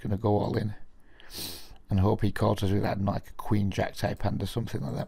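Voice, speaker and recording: At a fairly quick pace, a man speaks in a dark, mellow tone with vocal fry and ordinary pitch variation. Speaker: online poker player and video commentator. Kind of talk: live gameplay commentary. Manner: casual, hesitant with fillers.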